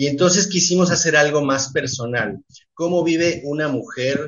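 A plain, everyday voice from a man, fairly high in pitch and at a fairly slow pace. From Mexico (left Uruguay as a child). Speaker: theatre director. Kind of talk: radio interview. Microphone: connection dropped out.

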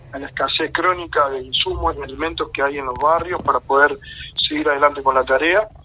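A man's pitch varies in an ordinary way as he talks at a moderate pace, with noticeable background noise around him. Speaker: community activist. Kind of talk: radio interview. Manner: halting, many fillers and repetitions.

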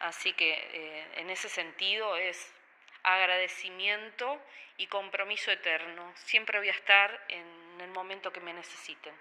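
A woman with a Uruguayan accent speaks at a medium pitch and a fairly slow pace in a bright, sharp tone, with fairly even intonation and big swings in loudness. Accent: Rioplatense Spanish (Uruguayan). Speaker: photographer and bank worker. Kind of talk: radio interview. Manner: halting, many fillers and repetitions.

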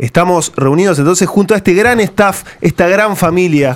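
Man talking at a moderate pace. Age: 20s. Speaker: radio host. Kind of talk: casual radio panel chat. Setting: radio studio, recorded live.

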